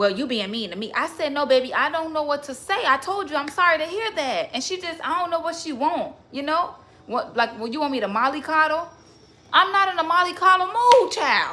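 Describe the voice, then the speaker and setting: At an extremely high pitch, a woman uses a raised, projected voice and an animated tone, swinging widely in pitch at a fairly quick pace. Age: 20s. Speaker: livestreamer. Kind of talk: casual livestream chat.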